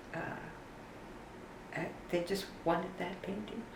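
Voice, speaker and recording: Amid noticeable background noise and audible room echo, a woman with a fairly low pitch speaks at a moderate pace. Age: 70s. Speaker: painter. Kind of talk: interview. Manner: halting.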